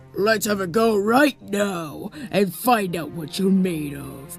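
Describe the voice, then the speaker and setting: Over clear music in the background, a man does a put-on character voice at a high pitch and a fairly slow pace. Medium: machinima.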